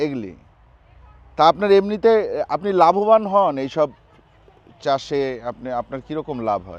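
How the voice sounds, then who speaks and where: A man speaks in a fairly high voice. His pitch swings very widely and his loudness rises and falls sharply. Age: 30s. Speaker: travel and food vlogger. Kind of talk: casual vlog chat. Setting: outdoors in a vegetable field.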